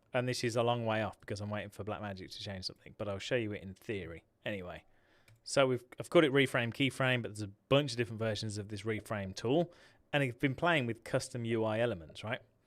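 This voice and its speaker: An Englishman talks at a very fast pace in a medium pitch with ordinary pitch variation. The recording is very clean, with a silent background. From England. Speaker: tech YouTuber. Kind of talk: livestream software tutorial. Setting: livestream. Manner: casual, chatty.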